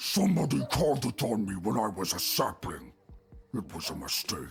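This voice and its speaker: A man puts on a growling character voice. It sits at medium pitch and moves at a moderate pace. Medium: video game. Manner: broken grammar, simple.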